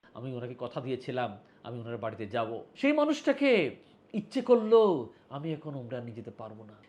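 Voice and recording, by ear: Speaking at a fairly quick pace, a man with a medium pitch and a slightly mellow tone moves through very wide pitch swings.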